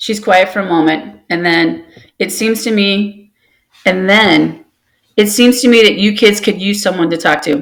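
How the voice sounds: The background stays quiet while a natural reading voice carries ordinary pitch variation.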